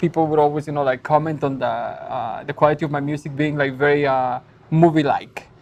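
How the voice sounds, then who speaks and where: A woman with a Spanish accent and a very deep, low pitch talks fairly quickly in a monotone, flat way over noticeable background noise. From Mexico. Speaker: musician. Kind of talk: talk show interview. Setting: stage with audience. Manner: halting, many fillers.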